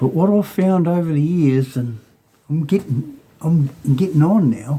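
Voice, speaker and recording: Slow-paced and somewhat breathy, a man speaks with a dark, mellow tone. His pitch varies in an ordinary way. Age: 60s. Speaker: mechanic. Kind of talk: tutorial. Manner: halting.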